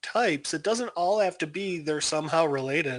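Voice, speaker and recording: A man speaks at a moderate pace with lively intonation and a slight Chicago accent against a quiet background. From Chicago, US Midwest. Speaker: podcast co-host. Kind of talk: casual chat.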